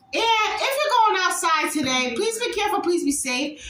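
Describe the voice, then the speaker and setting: A woman speaks loudly in an extremely high pitch with lively intonation. Audible room echo and noticeable background noise fill the recording. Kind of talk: casual vlog outro.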